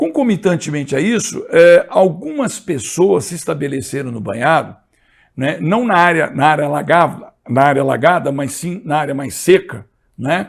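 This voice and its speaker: A man at a fairly slow pace with lively intonation, in a very clean recording with a silent background. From Brazil, São José dos Campos (São Paulo state). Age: 60s. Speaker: history teacher and environmentalist. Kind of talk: lecture. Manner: hesitant, many fillers and repetitions.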